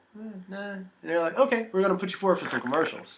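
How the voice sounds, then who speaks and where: Noticeable background noise sits behind a man who talks with an American accent. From US, Virginia. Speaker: actor. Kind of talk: interview.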